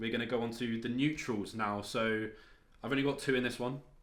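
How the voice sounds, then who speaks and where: Audible room echo surrounds a man who speaks at a fairly quick pace with fairly even intonation. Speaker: fitness vlogger. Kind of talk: casual vlog talk.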